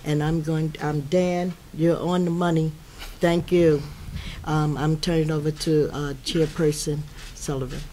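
A woman speaks at a fairly slow pace in a low voice with a dark, mellow tone and little pitch movement.

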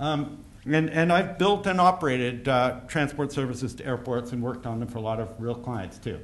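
At a fairly quick pace and with hardly any pauses, a man talks with lively intonation. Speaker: conference speaker on airport rail. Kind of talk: conference talk. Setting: stage with audience. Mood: wry, anecdotal. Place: hall. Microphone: podium.

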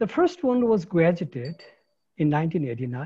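A man with a Nepali accent speaks very slowly in a fairly high voice with a dark, mellow tone. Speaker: ecologist, science policy academic. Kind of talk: keynote lecture. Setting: video call.

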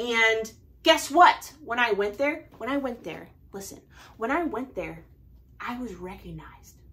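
A woman with an American accent, at a fairly slow pace and with lively intonation. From Oregon, Portland area. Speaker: knitting YouTuber. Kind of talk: casual vlog haul. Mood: cheerful, enthusiastic. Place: home room.

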